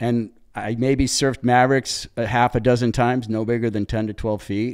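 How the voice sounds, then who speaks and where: A man with a Californian accent speaks at a moderate pace and medium pitch. The recording is very clean with a silent background. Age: 60s. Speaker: big wave surfer. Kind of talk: interview storytelling. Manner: animated.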